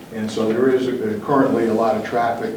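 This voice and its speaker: Over noticeable background noise and audible room echo, a man with an American accent speaks at a medium pitch and moderate pace in a monotone, flat intonation. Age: 70s. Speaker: property owner addressing planning commission. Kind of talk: public testimony at town meeting. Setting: town planning commission meeting. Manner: halting, many fillers.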